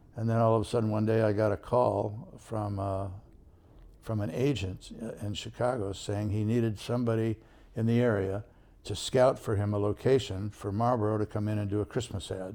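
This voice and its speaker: At a moderate pace, the speaker uses a General American accent with monotone, flat intonation and a dark, mellow tone in a very clean recording with a silent background. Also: man, fairly low pitch for a man. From Southern California. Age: 80s+. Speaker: photographer. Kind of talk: interview.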